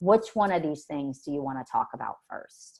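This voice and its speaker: A woman speaks loudly at a fairly quick pace. Her dark, mellow tone swings very widely in pitch. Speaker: forensic mental health evaluator. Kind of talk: webinar presentation. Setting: online webinar. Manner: verbose.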